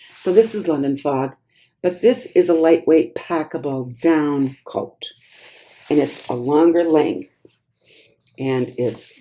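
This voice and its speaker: A woman speaks with an American accent and a very deep, low pitch. Her tone is dark and mellow, and her intonation is lively. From US Midwest, Wisconsin. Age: 60s. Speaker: clothing reseller, YouTuber. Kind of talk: thrift haul video, casual talk to camera. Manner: chatty, conversational with fillers.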